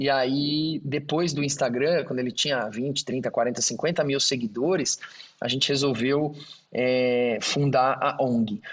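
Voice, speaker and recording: A fairly high-pitched man's voice at a very slow pace, with fairly even intonation. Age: 40s. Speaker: engineer and auctioneer, NGO founder. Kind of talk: interview. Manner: halting.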